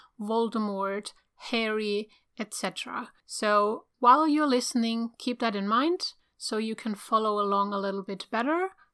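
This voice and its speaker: A woman in a German accent, fairly high and bright, sharp in tone, at a moderate pace with ordinary pitch variation, on a very clean recording with a silent background. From Germany. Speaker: podcast host. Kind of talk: casual chat.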